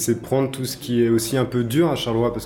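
Very fast speech from a man at medium pitch, amid noticeable background noise. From Brittany, France. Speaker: artist and designer. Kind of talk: interview. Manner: hesitant, many fillers.

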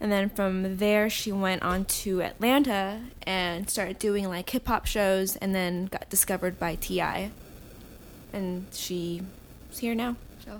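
A woman speaks at a medium pitch in a normal speaking voice, her intonation fairly even. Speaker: podcast co-host. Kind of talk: casual chat.

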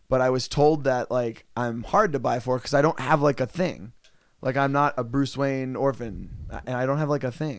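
On a very clean recording with a silent background, a man of medium pitch speaks at a moderate pace in a normal speaking voice, with ordinary pitch variation. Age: 30s. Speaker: podcast co-host. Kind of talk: casual chat.

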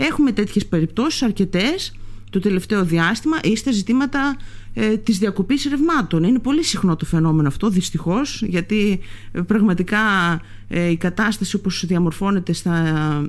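Her pitch sits in the medium range for a woman yet makes very wide swings. She keeps a moderate pace and very even loudness. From Greece, Lesbos. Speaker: politician, member of parliament. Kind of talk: radio interview.

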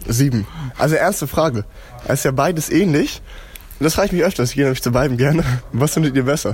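Very fast speech with long, frequent pauses, ordinary pitch variation and very even loudness over music in the background. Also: man. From Swabia, near Augsburg, Germany. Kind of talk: casual chat.

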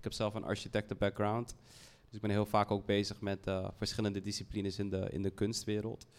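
A man talks with a fairly low pitch. His intonation is monotone and flat. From Netherlands, Heemskerk near Haarlem. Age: 30s. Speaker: fashion brand founder. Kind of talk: panel discussion. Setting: stage with audience.

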